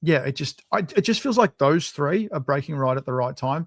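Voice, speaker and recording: A man with an Australian accent talks at a fairly quick pace and a fairly high pitch. The sound is dry and close with no echo, on a very clean recording with a silent background. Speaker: football podcast co-host. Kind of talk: casual chat.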